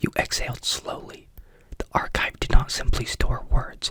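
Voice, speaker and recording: A whisper at moderate pace, with noticeable background noise. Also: woman. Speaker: ASMR creator. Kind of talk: whispered ASMR story reading, sleep story.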